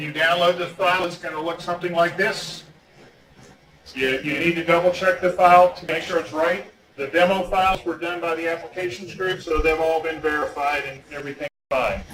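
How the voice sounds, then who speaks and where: Fairly even intonation and a fairly quick pace mark this speech, which carries audible room echo and noticeable background noise. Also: man, high pitch for a man. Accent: American. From US South, North Carolina. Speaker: engineer presenting a training. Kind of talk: lecture. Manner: fast.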